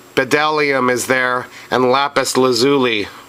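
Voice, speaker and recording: A man with fairly even intonation, over noticeable background noise. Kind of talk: scripture reading. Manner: stuttering in places.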